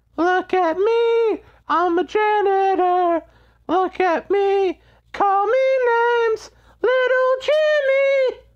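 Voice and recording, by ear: A squeaky, put-on character voice sits at an extremely high pitch. It moves at a very slow pace.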